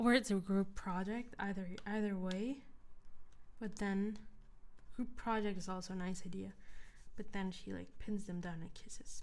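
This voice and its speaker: At a moderate pace, a soft-spoken woman with a medium-pitched voice talks with fairly even intonation and long, frequent pauses. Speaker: ASMR creator. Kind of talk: casual livestream chat.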